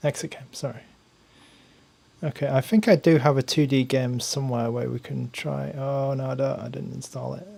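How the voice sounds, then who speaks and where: Against noticeable background noise, a man with an English accent speaks at a moderate pace with big swings in loudness. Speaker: tech reviewer, gaming streamer. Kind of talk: live stream commentary while gaming. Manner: casual, hesitant with fillers.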